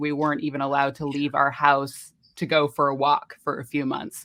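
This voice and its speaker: A woman with an American accent talks at a moderate pace, her pitch very deep and low. The background is quiet. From United States. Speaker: voice actor. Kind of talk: interview answer.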